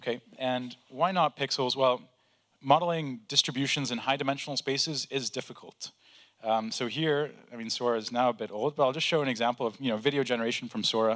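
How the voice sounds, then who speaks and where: A man with a plain, everyday voice speaks at a fairly quick pace in a medium pitch, his intonation fairly even, on a very clean recording with a silent background. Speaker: AI researcher. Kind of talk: conference talk.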